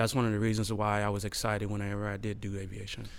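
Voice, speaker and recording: A man with an American accent and a fairly low pitch is heard with audible room echo. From Houston, Texas. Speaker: architect. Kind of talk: interview.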